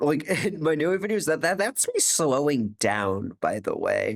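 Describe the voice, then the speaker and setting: Over a very clean, silent background with dry, close sound and no echo, a man talks at a fairly slow pace with vocal fry and very wide pitch swings. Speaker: YouTuber commenting on own old video. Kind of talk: casual commentary. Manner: animated.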